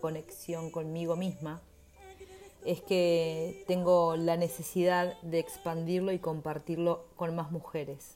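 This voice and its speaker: Over noticeable background noise, a woman with a Uruguayan accent speaks at a fairly slow pace and a fairly low pitch. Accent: Rioplatense Spanish (Uruguayan). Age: 30s. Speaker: podcast host and menstrual therapist. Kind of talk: solo podcast introduction.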